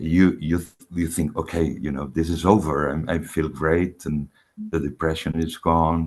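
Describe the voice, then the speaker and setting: A man with a very deep, low pitch and vocal fry speaks at a moderate pace with fairly even intonation. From Spain (Barcelona). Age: 60s. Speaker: orchestra conductor, spiritual seeker. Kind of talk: testimony in a one-to-one spiritual session. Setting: call. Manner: halting, many fillers and repetitions.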